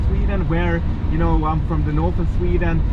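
A man talks at a fairly quick pace in a dry sound with no echo, with loud background noise behind him. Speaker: vlogger. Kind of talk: casual vlog chat. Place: car. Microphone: phone near.

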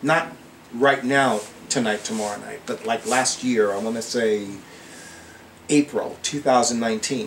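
A man talks at a very slow pace, leaving long, frequent pauses. Light background noise can be heard. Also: medium pitch for a man. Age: 50s. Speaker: psychic and witch video blogger; witchcraft vlogger. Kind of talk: video monologue; casual vlog chat. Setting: indoors at home with fan. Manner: animated. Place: home room. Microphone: webcam.

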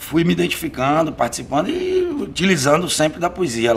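Against light background noise, a man speaks at a fairly high pitch with very wide pitch swings. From Bahia sertão, Brazil (Uauá). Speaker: poet and lawyer. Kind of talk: interview. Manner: hesitant, with many fillers. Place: home room.

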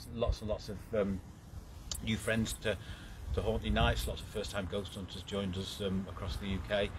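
There is loud background noise. A man speaks over it at a fairly quick pace. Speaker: ghost hunt organiser. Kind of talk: casual live update chat. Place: street. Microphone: phone near.

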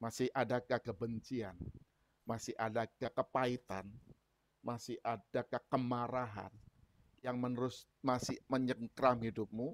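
A man's fairly slow, monotone speech with flat intonation, dry with no echo. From Indonesia. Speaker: preacher. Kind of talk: sermon. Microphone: earbuds.

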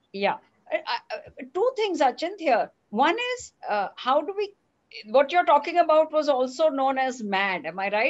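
A woman talks at a moderate pace. Her pitch swings very widely and her loudness rises and falls a lot. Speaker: interviewer. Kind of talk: interview. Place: home room. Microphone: headset.

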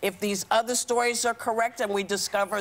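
A woman speaks at a moderate pace. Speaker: talk show co-host. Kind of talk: panel discussion commentary. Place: studio. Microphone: lapel.

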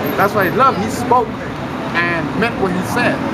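Loud background noise behind a man's voice. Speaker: street commentator. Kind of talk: casual monologue. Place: street. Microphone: phone near.

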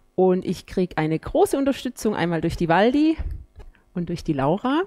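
The pitch swings very widely up and down. Light background noise can be heard. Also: woman. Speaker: pilates instructor. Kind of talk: exercise class instruction. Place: gym. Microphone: headset.

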